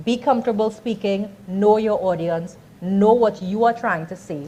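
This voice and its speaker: A woman with a Trinidadian accent speaks at a moderate pace in a medium, somewhat breathy voice with ordinary pitch variation. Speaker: communications and branding speaker. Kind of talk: workshop talk.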